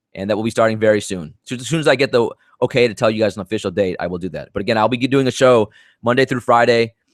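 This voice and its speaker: Delivered at a very fast pace with ordinary pitch variation, the speech comes on a very clean recording with a silent background. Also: man, medium pitch for a man. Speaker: sports betting podcast host. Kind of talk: solo podcast monologue. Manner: stumbling, stuttering.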